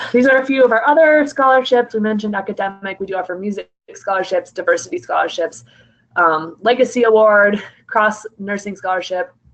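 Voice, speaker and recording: Speaking at a fairly quick pace, a woman uses lively intonation around a medium pitch. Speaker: college admissions counselor. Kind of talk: informational presentation. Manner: fast.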